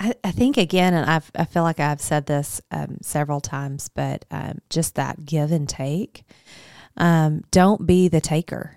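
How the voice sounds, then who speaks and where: A woman with a Southern US accent speaks at a fairly slow pace in a very deep, low voice with ordinary pitch variation. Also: dry, close sound with no echo, very clean recording, silent background. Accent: Southern American. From US South, Arkansas. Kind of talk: casual chat.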